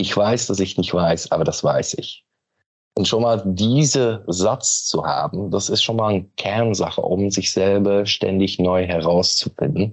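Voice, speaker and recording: A man's fairly low voice at a fairly slow pace, with ordinary pitch variation and very even loudness. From Belgium. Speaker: company managing director. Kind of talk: interview conversation. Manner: hesitant, many fillers.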